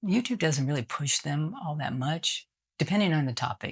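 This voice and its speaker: At a moderate pace, a woman with a very deep, low, somewhat breathy voice speaks with lively intonation. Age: 60s. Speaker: YouTuber. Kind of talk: casual talk to camera.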